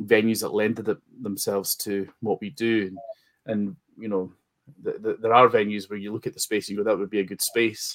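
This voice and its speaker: At a moderate pace, a man with an eastern Scottish accent speaks at a fairly low pitch. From Scotland, Forfar in Angus. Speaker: wrestling promoter. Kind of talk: interview. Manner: halting, many repetitions.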